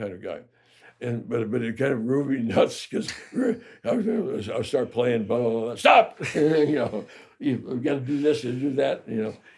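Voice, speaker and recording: An unremarkable speaking voice from a man with an American accent, medium in pitch, with lively intonation. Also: moderate pace. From Chicago, Illinois. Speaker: jazz trumpet player. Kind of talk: interview answer.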